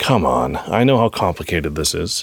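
A man puts on a character voice, low in pitch with big pitch swings. It has a slightly husky edge and vocal fry, delivered at a moderate pace.

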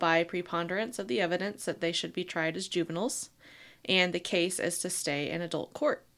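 A woman's medium-pitched voice, an ordinary speaking voice, with fairly even intonation at a moderate pace in a very clean recording with a silent background. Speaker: podcast co-host. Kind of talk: casual chat about true crime.

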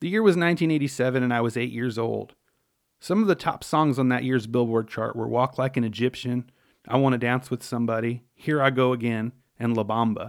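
Man with a plain, everyday voice and an American accent, medium pitch, ordinary pitch variation and a fairly quick pace, in a very clean recording with a silent background. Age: 40s. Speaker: podcast host, musician. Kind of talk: scripted narration.

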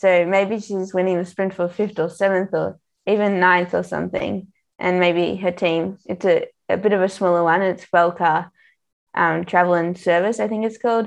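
In an Australian accent, a woman speaks at a moderate pace with a medium pitch and monotone, flat intonation against a quiet background. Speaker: professional cyclist. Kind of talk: casual interview.

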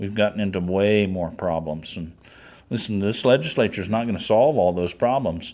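A man speaks at a moderate pace in a plain, everyday voice, fairly low in pitch with ordinary pitch variation. The recording is very clean, with a silent background. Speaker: legislator. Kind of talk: roundtable discussion.

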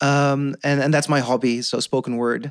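On a very clean recording with a silent background, a man with a Dutch accent speaks at a moderate pace in a fairly high pitch. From Netherlands. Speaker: podcast guest. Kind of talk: casual chat. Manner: halting.

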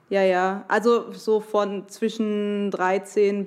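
A woman's medium-pitched voice in a flat monotone. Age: 20s. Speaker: podcast guest, listener. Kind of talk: personal testimony.

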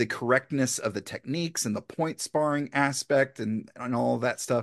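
A plain, everyday voice is heard against a quiet background. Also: man. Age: 40s. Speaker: comedian. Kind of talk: casual chat.

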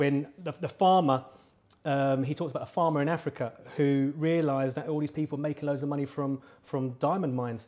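A man with a fairly high pitch, a dark, mellow tone and ordinary pitch variation. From London. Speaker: podcast host. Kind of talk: interview. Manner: halting, repeats words.

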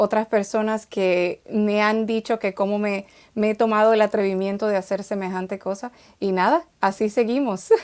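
A woman talks at a moderate pace and medium pitch, with fairly even intonation. The recording is very clean, with a silent background. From Dominican Republic. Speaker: children's author and poet. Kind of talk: interview conversation.

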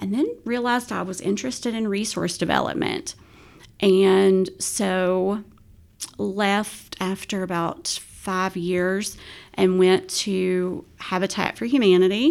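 Speaking very slowly in an Appalachian accent, a woman has a medium pitch and ordinary pitch variation on a very clean recording with a silent background. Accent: Appalachian American. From West Virginia. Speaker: nonprofit executive director. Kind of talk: podcast interview.

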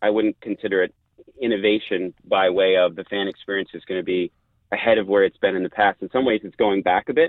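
The man talks at a fairly quick pace. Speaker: sports executive interviewee. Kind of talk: radio interview. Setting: live remote call from tournament. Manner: passionate, emotional.

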